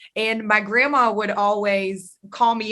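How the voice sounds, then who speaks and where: A woman with a slight Southern US accent speaks at medium pitch in a bright, sharp tone. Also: very clean recording, silent background. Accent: slight Southern drawl. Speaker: podcast host. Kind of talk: interview chat. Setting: studio.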